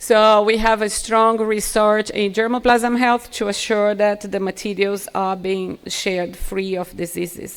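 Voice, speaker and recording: A woman's monotone, flat delivery with hardly any pauses. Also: medium pitch for a woman, fairly slow pace. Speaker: gene bank scientist. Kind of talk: conference presentation. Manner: halting.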